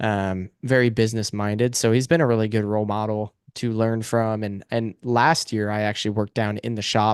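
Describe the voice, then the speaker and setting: Using an ordinary speaking voice, a man with an American accent talks fairly quickly at a fairly low pitch, with fairly even intonation and hardly any pauses, in a dry, close sound with no echo against a quiet background. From US Pacific Northwest, Washington State. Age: 20s. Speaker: racing driver. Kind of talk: interview.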